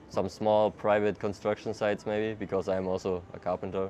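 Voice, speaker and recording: With a German accent, a man speaks at a fairly low pitch in a monotone, flat intonation. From Germany, Hamburg. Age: 20s. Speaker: traveler. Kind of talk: casual interview. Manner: hesitant, casual with fillers.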